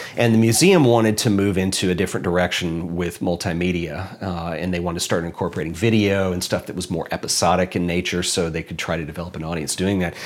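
A man with an American accent talks at a very fast pace with hardly any pauses. His pitch is very deep and low, and his intonation fairly even. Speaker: photographer and filmmaker, YouTuber. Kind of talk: interview.

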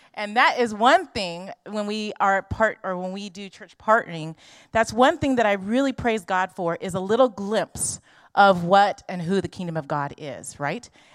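A woman with a Californian accent is heard in a dry, close recording with no echo. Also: medium pitch for a woman, moderate pace, big swings in loudness, very clean recording, silent background. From Los Angeles. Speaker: missionary. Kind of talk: church presentation. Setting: church.

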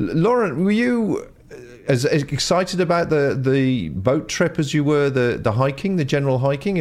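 A normal speaking voice from a man, fairly high in pitch and fairly quick in pace. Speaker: podcast interviewer. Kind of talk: interview.

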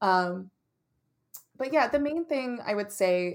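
Speaking fairly slowly, this woman uses a normal speaking voice and lively intonation. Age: 30s. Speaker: comedian and playwright. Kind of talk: casual interview.

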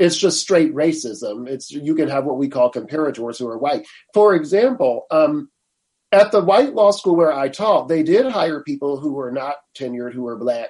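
A man speaks at a moderate pace in an unremarkable speaking voice. His pitch is fairly high and his intonation lively. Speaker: law professor and attorney. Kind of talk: interview. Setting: video call.

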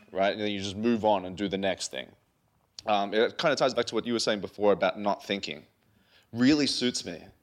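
A plain, everyday voice at a fairly quick pace with ordinary pitch variation, on a very clean recording with a silent background. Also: man, fairly low pitch for a man. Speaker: digital artist. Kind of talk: live interview conversation.

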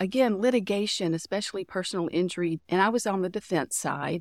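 This woman's voice sits at a medium pitch with lively intonation. The recording is very clean, the background silent. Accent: Texan. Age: 50s. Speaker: corporate real estate director. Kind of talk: interview conversation. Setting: live at a conference.

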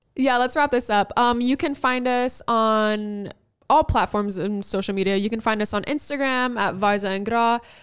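A woman with a normal speaking voice talks at a moderate pace with a fairly high pitch and ordinary pitch variation, on a very clean recording with a silent background. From New York, Albanian-American family. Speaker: podcast co-host. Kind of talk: casual chat.

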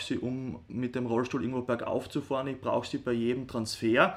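With fairly even intonation, a man at a medium pitch speaks at a fairly quick pace. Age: 30s. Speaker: sports scientist, rehab sports teacher. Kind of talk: interview. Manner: hesitant, many fillers.

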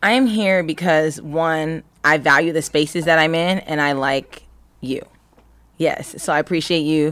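A woman with a very deep, low pitch, a Californian accent, ordinary pitch variation and a fairly slow pace. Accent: Californian American English. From US West Coast, Los Angeles County. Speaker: actress and entrepreneur. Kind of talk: casual interview chat. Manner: animated.

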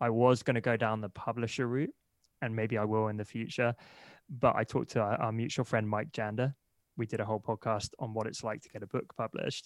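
A man speaks at a fairly quick pace with a medium pitch and fairly even intonation, in a plain, everyday voice. The sound is dry and close with no echo, on a very clean recording with a silent background. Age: 30s. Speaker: entrepreneur and marketer. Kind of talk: interview.

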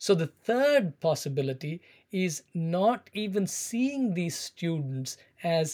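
The voice has an Indian accent on a very clean recording with a silent background. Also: man. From South India, Chennai. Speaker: education scholar and teacher. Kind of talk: interview, explanatory. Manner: halting, many fillers.

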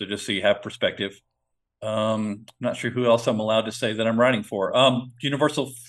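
In a plain, everyday voice, a man speaks with ordinary pitch variation. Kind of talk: casual podcast chat.

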